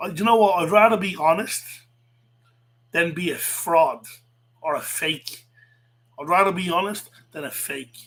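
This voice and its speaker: Speaking with a Dublin accent and an animated tone, a man with a high pitch moves at a moderate pace with ordinary pitch variation, big swings in loudness, and long, frequent pauses. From Ireland, south Dublin. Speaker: livestreamer, wrestling commentator. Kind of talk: casual livestream rant. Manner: animated, repetitive.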